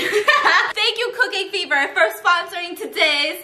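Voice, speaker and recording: A woman's raised, projected voice at a moderate pace, with audible room echo and light background noise. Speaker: vlog host. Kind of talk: casual vlog chat. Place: kitchen. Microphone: camera far.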